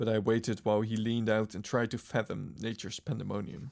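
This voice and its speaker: Vocal fry from a man of medium pitch at a moderate pace. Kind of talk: audiobook-style reading of a horror story. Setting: live-streamed reading by a virtual avatar streamer. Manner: wooden, stumbling over words occasionally.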